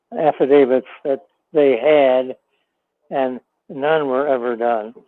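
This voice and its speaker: Fairly even intonation from a man at a very slow pace. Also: medium pitch for a man. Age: 90s. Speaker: caller, retired lawyer. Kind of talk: call-in opinion.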